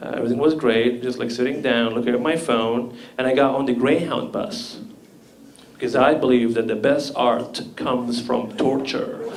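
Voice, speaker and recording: With ordinary pitch variation and a moderate pace, the voice comes through audible room echo and noticeable background noise. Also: man. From Libya. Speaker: comedian. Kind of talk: stand-up.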